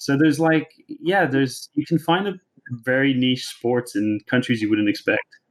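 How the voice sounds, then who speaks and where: A man with a Canadian accent uses an ordinary speaking voice, fairly high in pitch with ordinary pitch variation. His loudness stays very even, and the sound is dry and close with no echo. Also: moderate pace. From Canada. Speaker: startup co-founder. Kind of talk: interview. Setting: podcast.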